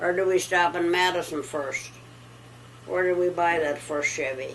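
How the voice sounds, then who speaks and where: With an American accent, a woman speaks at a very slow pace in a fairly low pitch with fairly even intonation, and the room echo is audible. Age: 90s. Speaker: elderly farm wife. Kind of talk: casual chat. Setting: at home.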